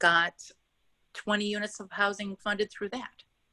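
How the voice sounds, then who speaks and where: Bright and sharp in tone, a woman speaks at a medium pitch with fairly even intonation, in a dry, close sound with no echo. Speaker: housing developer. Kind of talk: webinar presentation. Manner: fast.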